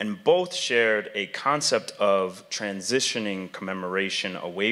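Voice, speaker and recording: Fairly slow male speech, fairly low in pitch, bright and sharp in tone, with ordinary pitch variation. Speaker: panel moderator, arts education director. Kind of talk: moderated panel discussion. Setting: stage with audience. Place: hall. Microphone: podium.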